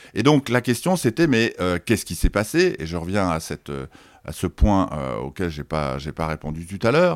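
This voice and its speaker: Very deep and low, a man's voice with vocal fry moves at a moderate pace. The sound is dry and close with no echo, and the pitch swings very widely. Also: very clean recording, silent background. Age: 60s. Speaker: sociologist and author. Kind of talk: interview. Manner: halting, many repetitions and hesitations.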